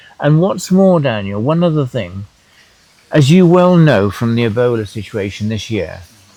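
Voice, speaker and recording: Here a man talks at a moderate pace with lively intonation. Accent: English. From England. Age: 80s+. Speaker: tour operator and farmer. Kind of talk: panel interview. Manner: halting.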